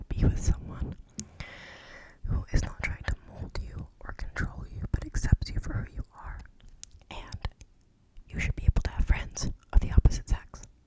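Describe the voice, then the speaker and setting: A woman whispers at a moderate pace, with long, frequent pauses. Her loudness swings widely amid noticeable background noise. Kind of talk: ASMR Reddit story reading with personal commentary. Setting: home recording with background noise. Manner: casual, chatty, opinionated, rambling.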